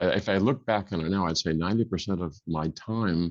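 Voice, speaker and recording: A man's very deep, low voice at a fairly quick pace with ordinary pitch variation, dry and close with no echo, against a quiet background. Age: 60s. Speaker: instrument inventor. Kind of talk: interview. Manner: halting.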